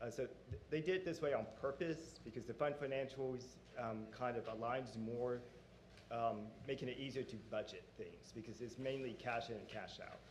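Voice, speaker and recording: There is audible room echo around this man's voice. Noticeable background noise can be heard too. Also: medium pitch for a man, ordinary pitch variation, moderate pace. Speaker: auditor presenting financial audit. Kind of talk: formal presentation to board. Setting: public board meeting.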